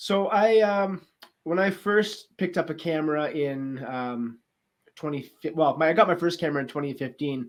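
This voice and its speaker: At a moderate pace, a man with a normal speaking voice talks with a fairly high pitch and ordinary pitch variation on a very clean recording with a silent background. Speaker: podcast host, photographer. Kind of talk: podcast interview host.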